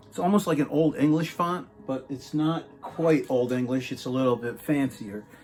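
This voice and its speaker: With music in the background, a man talks at a moderate pace, his pitch fairly high with ordinary variation. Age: 60s. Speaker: music collector YouTuber. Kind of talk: casual video monologue showing collection. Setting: home video, poor lighting. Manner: halting with many fillers.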